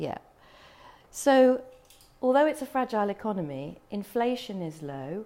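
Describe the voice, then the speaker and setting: A woman speaks with a British accent, her voice fairly high yet dark and mellow in tone. Her pitch swings very widely, and she leaves long, frequent pauses. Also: moderate pace, big swings in loudness. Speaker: travel marketing executive presenting to tourism professionals. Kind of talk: presentation. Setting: room with audience.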